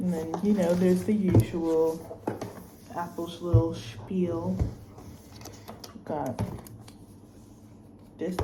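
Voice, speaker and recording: In an American accent, a woman speaks at a fairly slow pace with an animated tone. Audible room echo and noticeable background noise fill the recording. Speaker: student vlogger. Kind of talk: casual vlog unboxing.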